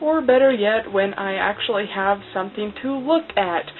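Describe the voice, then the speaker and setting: This woman talks at a moderate pace with a medium pitch and ordinary pitch variation. Noticeable background noise runs behind her. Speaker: cosplay vlogger. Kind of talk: casual vlog monologue. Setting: talking to camera alone. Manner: halting, many fillers.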